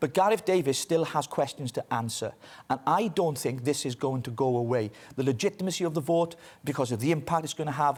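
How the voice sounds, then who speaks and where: A man talks in a Welsh accent at a fairly high pitch. His pitch varies in an ordinary way. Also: fairly quick pace. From Wales. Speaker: political commentator. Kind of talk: news interview.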